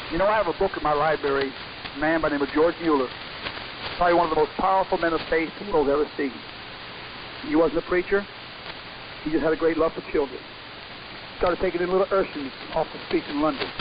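A man with a fairly high pitch talks at a very fast pace, with long, frequent pauses. There is noticeable background noise. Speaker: radio preacher. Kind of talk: sermon. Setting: shortwave radio broadcast. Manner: animated.

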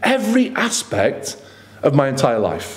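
A man's voice with big pitch swings.

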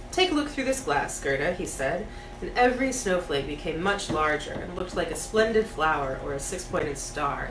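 A woman speaks at a moderate pace. Background noise is noticeable. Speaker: storybook reader. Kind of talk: reading a story aloud. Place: home room. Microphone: camera far.

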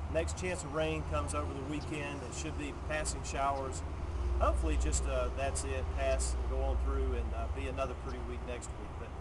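A man speaks at a moderate pace in a very deep, low pitch with fairly even intonation. Loud background noise runs behind him. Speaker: car dealership weather presenter. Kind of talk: casual outdoor weather report mixed with a sales pitch. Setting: outdoors. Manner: relaxed, friendly, conversational. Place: street. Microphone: phone near.

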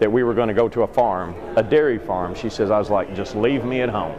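Through noticeable background noise, a man talks at a very fast pace. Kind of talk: interview answer. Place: hall. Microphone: phone near.

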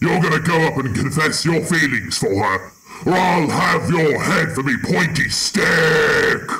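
Raspy speech comes at a fairly slow pace with lively intonation. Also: man, fairly high pitch for a man. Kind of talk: comic overacting. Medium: machinima. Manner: boisterous, bossy, bloodthirsty.

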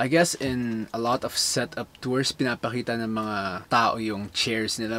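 A man talks at a fairly slow pace. Loud background noise fills the clip. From Philippines. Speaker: YouTuber, photographer; YouTuber. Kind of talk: vlog, casual talk to camera. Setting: home bedroom. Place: home room.

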